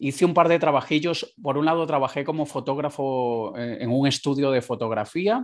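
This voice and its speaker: A man with a normal speaking voice, fairly high in pitch with ordinary pitch variation, at a moderate pace against a quiet background. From Venezuela (Caracas). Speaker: entrepreneur, digital marketing consultant. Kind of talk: interview.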